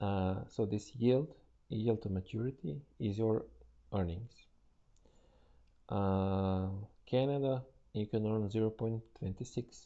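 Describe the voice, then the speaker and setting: With a non-native accent, the speaker goes at a very slow pace, leaving long, frequent pauses, with ordinary pitch variation. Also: man, fairly low pitch for a man. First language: not English. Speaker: trader and financial market analyst. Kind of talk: tutorial. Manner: halting, with many fillers.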